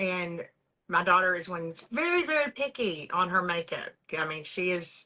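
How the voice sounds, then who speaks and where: At a moderate pace, a woman with a Texan accent speaks at medium pitch, her bright, sharp tone carried by lively intonation. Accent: Texas Southern US. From East Texas. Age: 40s. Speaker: beauty products sales director. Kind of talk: interview, personal testimony.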